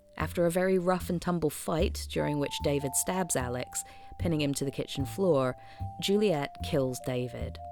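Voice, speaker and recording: Noticeable background noise accompanies a woman whose very deep, low voice moves in very wide pitch swings. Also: moderate pace. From Scotland. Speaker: film video essayist. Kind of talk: scripted narration.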